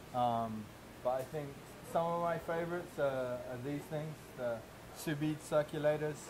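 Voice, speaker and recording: With audible room echo and noticeable background noise, a man with a fairly high pitch speaks at a moderate pace, using ordinary pitch variation and long, frequent pauses. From England. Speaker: chef. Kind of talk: interview. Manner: halting.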